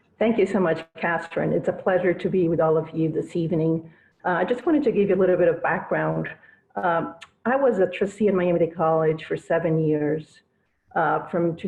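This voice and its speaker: A woman with a Spanish accent talks at a moderate pace, her fairly low pitch showing ordinary variation. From Brazil, Cuban parents. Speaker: lawyer and business owner, political campaign speaker. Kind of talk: campaign speech. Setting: video call.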